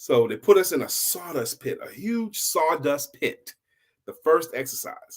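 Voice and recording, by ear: A man's fairly high-pitched voice with big pitch swings, a slightly husky edge and a fairly slow pace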